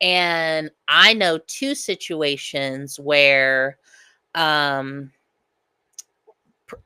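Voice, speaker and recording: A woman's very deep, low voice, bright and sharp in tone, with ordinary pitch variation, a dry, close sound without echo, and a very clean recording over a silent background. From US Midwest (Lincoln County, Missouri). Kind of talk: casual chat. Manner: loud.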